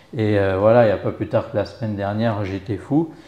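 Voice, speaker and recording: With a dark, mellow tone, a man talks at medium pitch. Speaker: rugby club volunteer and web business owner. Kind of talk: interview. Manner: slow.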